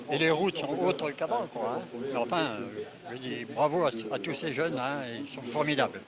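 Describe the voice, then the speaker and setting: A man speaks at a fairly high pitch with ordinary pitch variation and a moderate pace. Background noise is noticeable. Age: 80s+. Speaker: veteran amateur cyclist, world champion in age category. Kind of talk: interview. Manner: halting, with many fillers.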